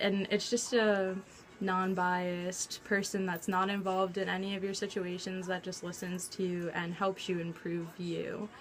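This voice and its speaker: With music in the background, the speaker talks at a fairly slow pace in a monotone, flat intonation. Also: woman. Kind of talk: casual talk to camera.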